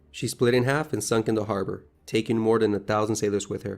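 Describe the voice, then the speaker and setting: Music plays in the background behind a man. He has a fairly low pitch and monotone, flat intonation. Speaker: history video narrator. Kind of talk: history documentary narration.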